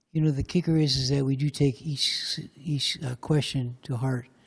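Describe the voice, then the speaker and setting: Somewhat breathy, a man with a fairly high pitch speaks with fairly even intonation on a very clean recording with a silent background. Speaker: county commissioner. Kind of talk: public meeting remarks. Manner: quiet.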